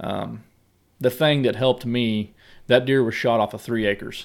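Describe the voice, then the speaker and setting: The recording is very clean, with a silent background. A man with a rural Missouri accent speaks at a medium pitch in fairly even intonation. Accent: rural Missouri American. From US Midwest, southwest Missouri. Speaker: hunter and business owner. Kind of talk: casual chat.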